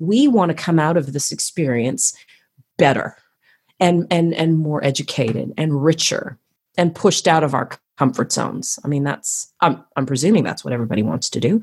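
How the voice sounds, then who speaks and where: A woman's very deep, low voice, energetic and animated, with lively intonation at a moderate pace. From Canada, Toronto. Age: 40s. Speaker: choreographer and artistry coach for gymnastics. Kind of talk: casual interview chat. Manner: energetic, animated.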